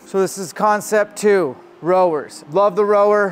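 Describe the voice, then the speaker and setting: There's a male voice talking. Behind him, music can be heard. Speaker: fitness coach. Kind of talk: casual tour commentary. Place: gym. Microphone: lapel.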